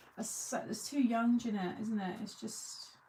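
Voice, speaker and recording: Keeping a fairly even intonation, a woman speaks slowly-ish at a fairly slow pace with a medium pitch. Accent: English. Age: 40s. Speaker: crafting video host. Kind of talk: casual chat. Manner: chatty.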